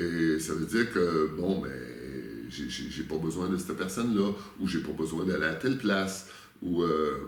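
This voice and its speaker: A man with a Quebec accent speaks with a very deep, low pitch and ordinary pitch variation. His fairly slow pace has long, frequent pauses amid noticeable background noise. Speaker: spiritual workshop leader. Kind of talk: interview answer.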